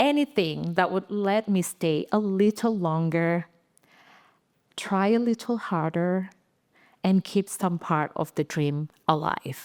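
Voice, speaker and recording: A woman with an Indonesian accent, very slow pace, fairly low pitch and ordinary pitch variation, in a dry, close recording with no echo, very clean with a silent background. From Indonesia (Aceh, Sumatra). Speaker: design leader and speaker. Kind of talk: inspirational talk. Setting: stage with audience. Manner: halting.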